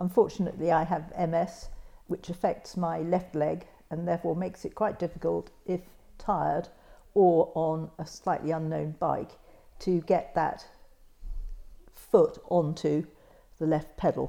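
Her dark, mellow tone carries vocal fry as this woman speaks at a fairly low pitch and a fairly slow pace, with fairly even intonation and long, frequent pauses. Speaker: mother on the cycling trip.

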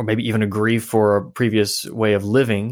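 In a very clean recording with a silent background, a man with a normal speaking voice talks at a medium pitch and a moderate pace. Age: 30s. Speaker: author. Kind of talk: casual chat.

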